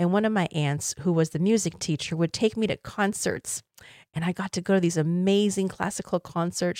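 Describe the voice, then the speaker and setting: This is a very clean recording with a silent background. A woman with an American accent talks at a fairly quick pace in a plain, everyday voice, fairly low in pitch, with fairly even intonation. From Taiwan, then US. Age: 50s. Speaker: podcast host and confidence coach. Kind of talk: solo podcast monologue.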